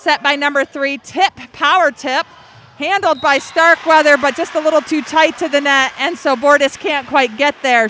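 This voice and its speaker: A woman's high, raised and projected voice with an American accent, at a fairly slow pace, with ordinary pitch variation and noticeable background noise. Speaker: volleyball play-by-play announcer. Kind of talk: live commentary. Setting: indoor gym with loud crowd. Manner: loud, sometimes yelling.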